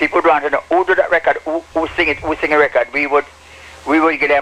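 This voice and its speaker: This man talks at a very fast pace. His fairly high voice stays monotone and flat. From Jamaica, Morant Bay, St. Thomas. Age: 70s. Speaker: sound system operator. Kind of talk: interview. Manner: halting, repeats words.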